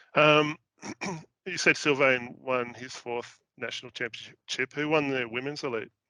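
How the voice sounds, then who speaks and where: With an Australian accent, a man speaks at a fairly slow pace and medium pitch, his tone bright and sharp, his intonation fairly even and his loudness swinging widely, in a dry, close sound with no echo. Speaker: show host. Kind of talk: casual interview chat.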